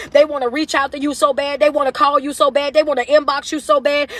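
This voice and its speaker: A woman talks loudly at a very fast pace, in a high pitch with an animated tone. There is noticeable background noise, and the sound is dry and close with no echo. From US South. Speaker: motivational speaker. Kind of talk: live stream rant. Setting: social media livestream.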